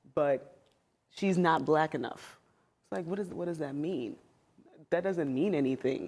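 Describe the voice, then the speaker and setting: A woman speaks at a fairly slow pace with a very deep, low pitch and ordinary pitch variation. Her speech has long, frequent pauses. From US, child of Spanish-speaking immigrants. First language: Spanish. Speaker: former teacher, panelist. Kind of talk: panel discussion.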